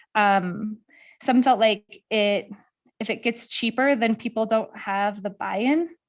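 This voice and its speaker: On a very clean recording with a silent background, a woman with an unremarkable speaking voice talks at a moderate pace, fairly high in pitch, with ordinary pitch variation. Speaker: presenter reporting outreach findings. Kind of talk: public meeting presentation. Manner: many filler ums.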